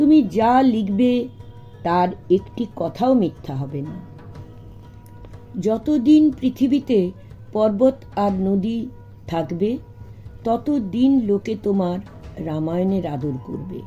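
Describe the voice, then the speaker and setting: With music in the background, a woman speaks in very wide pitch swings. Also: medium pitch for a woman. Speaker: retired teacher; storyteller. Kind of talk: children's story reading.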